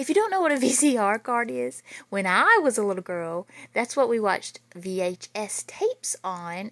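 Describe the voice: With lively intonation and a fairly bright tone, a woman speaks at a moderate pace and fairly high pitch.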